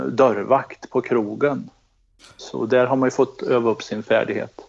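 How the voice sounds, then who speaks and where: A man with a medium-pitched voice speaks at a fairly slow pace with fairly even intonation. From Värmland, Sweden (near Karlskoga). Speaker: police cold case unit chief. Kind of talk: interview. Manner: halting, many repetitions.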